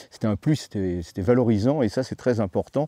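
A man's fairly low, dark, mellow voice with lively intonation, in a dry sound with no echo and a quiet background. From Paris, France. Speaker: ethnobotanist and author; interviewee. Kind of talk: interview. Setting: at his home. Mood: reflective, earnest. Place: garden.

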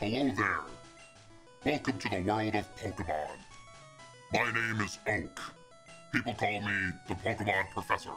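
A man's put-on character voice, fairly low in pitch, at a moderate pace over clear music in the background

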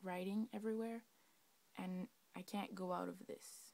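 In a Quebec accent, the speaker has a dark, mellow tone, fairly even intonation, and a moderate pace. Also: woman. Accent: Québec French. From Québec. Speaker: laptop owner asking for help. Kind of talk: casual talk to camera. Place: home room. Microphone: phone near.

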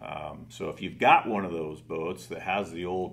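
A man speaks at a fairly slow pace. His very deep, low pitch shows ordinary variation. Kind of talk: interview answer. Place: studio.

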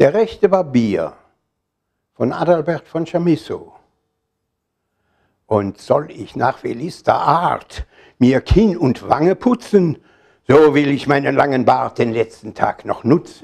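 Against a quiet background, a man with a fairly high pitch and vocal fry speaks at a very slow pace with lively intonation and long, frequent pauses. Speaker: poetry reciter. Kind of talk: poetry reading. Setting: live reading in a hall. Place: shop. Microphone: lapel.

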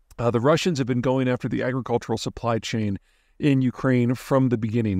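Recorded dry with no echo against a quiet background, a man speaks with fairly even intonation. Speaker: geopolitics commentator. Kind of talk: commentary. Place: forest. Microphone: phone near.

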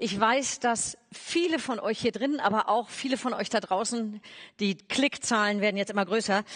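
A woman speaks with ordinary pitch variation. The background is quiet. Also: moderate pace. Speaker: stage moderator. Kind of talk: speaker introduction. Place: stage. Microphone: headset.

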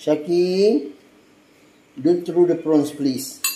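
Audible room echo surrounds a man's fairly high voice with a dark, mellow tone. He speaks very slowly, with ordinary pitch variation.

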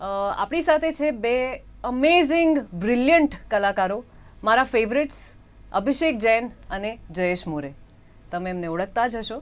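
Speaking with a Hindi accent, a woman with a fairly high pitch makes very wide pitch swings and big swings in loudness on a very clean recording with a silent background. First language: Hindi (speaking Gujarati). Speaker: film actress presenting the show. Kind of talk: interview host.

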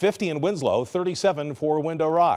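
Against a quiet background, a man with a fairly high pitch speaks at a very slow pace. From Southern California. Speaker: TV meteorologist. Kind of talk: TV weather forecast. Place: studio.

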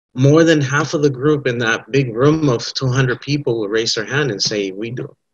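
Over a quiet background comes a somewhat breathy voice with fairly even intonation. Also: man. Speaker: presenter. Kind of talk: panel presentation. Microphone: video call.

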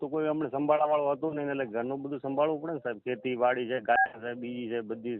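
With a plain, everyday voice, a man talks at a medium pitch using fairly even intonation. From Rajasthan, Sanchore area (Jalore district). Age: 40s. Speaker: farmer and dairy keeper seeking a marriage match. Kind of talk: phone call interview.

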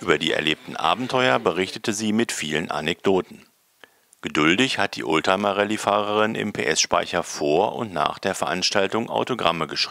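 A man's fairly low-pitched voice, an unremarkable speaking voice, with ordinary pitch variation and a moderate pace. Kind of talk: local news narration.

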